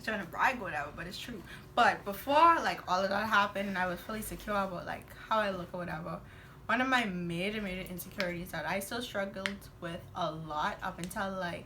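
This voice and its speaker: Talking at a very fast pace, a woman uses a medium pitch with ordinary pitch variation and big swings in loudness. Audible room echo surrounds her voice. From Bahamas. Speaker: guest, twin sister of host. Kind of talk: casual chat.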